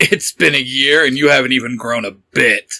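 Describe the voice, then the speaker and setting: A raspy, put-on character voice moves at a moderate pace. The sound is dry and close, with no echo. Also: man. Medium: read story. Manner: stern, curt.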